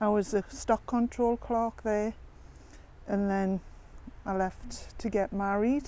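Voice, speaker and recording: A woman speaks at a medium pitch with a dark, mellow tone. Her delivery is very slow and monotone, with flat intonation. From northern England, County Durham. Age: 70s. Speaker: local resident sharing memories. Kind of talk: oral history interview. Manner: casual, chatty with fillers.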